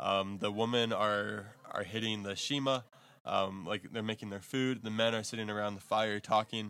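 A man's bright, sharp tone at a fairly low pitch, with an American accent and fairly even intonation. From Texas. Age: 20s. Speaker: missionary. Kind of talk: interview. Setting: missionary base in Zambia.

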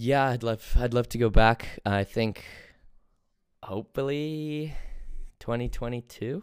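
Long, frequent pauses break up this man's fairly slow delivery. His pitch varies in an ordinary way. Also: medium pitch for a man. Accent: American. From England. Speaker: podcast host. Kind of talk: casual chat.

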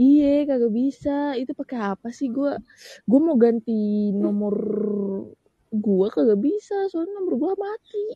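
A woman speaks fairly slowly in a high voice whose pitch swings very widely. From Samarinda, East Kalimantan. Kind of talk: casual chat.

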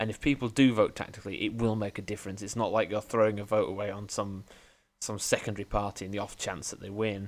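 Speaking at a very fast pace, a man with a fairly low pitch keeps a fairly even intonation while his loudness swings widely. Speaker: podcast co-host. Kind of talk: casual chat.

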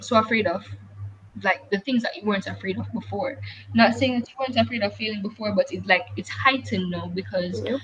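Noticeable background noise is present. Over it, a woman talks fairly quickly. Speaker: podcast host. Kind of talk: casual chat.

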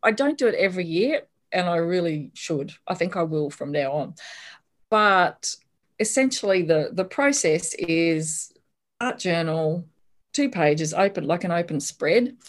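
A woman's fairly low voice with an Australian accent, lively intonation and a fairly slow pace over a quiet background. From Australia, Brisbane. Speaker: author. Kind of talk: casual interview chat.

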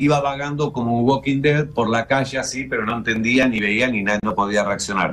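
A man's ordinary speaking voice, medium in pitch, fairly quick in pace, with ordinary pitch variation. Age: 60s. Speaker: TV show creator. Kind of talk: casual chat.

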